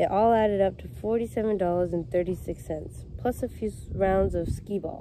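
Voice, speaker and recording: Against light background noise, a woman with a dark, mellow tone speaks at a moderate pace, the sound dry with no echo. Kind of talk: storybook read-aloud. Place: street. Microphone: phone near.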